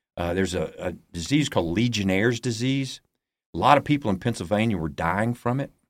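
In an Alabama accent, a man races along at a very fast pace with a fairly low pitch and lively intonation on a very clean recording with a silent background. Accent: Southern US (Alabama). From US South, Alabama (Huntsville). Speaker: pastor and ministry founder. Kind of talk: testimony.

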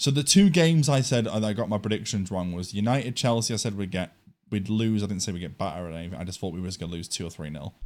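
With an English accent, a man talks at a very fast pace in a fairly low pitch, his intonation lively. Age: 20s. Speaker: podcast host. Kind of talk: casual chat. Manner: animated.

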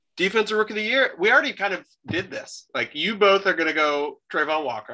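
This raised, projected voice has a bright, sharp tone and hardly any pauses. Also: man. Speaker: podcast host. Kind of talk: casual sports banter.

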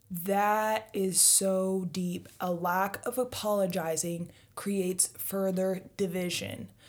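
A woman at a medium pitch, at a very slow pace with hardly any pauses, very even loudness, and fairly even intonation. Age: 20s. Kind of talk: casual faith discussion.

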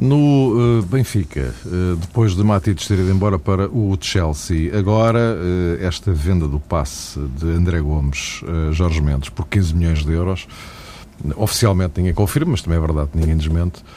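This man has a very deep, low pitch and very even loudness. He talks at a moderate pace against noticeable background noise. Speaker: radio host. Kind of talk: casual chat.

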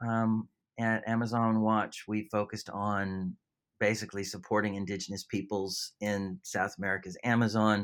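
On a very clean recording with a silent background, a man with a Californian accent speaks at a moderate pace in a fairly low, flat monotone. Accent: Californian, retained. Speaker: environmental charity CEO. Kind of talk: interview. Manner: hesitant, many fillers.

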